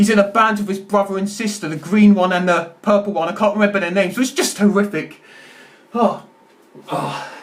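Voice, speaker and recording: This man's voice is high. His intonation stays fairly even. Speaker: YouTuber. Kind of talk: film review monologue. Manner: fast; stammering.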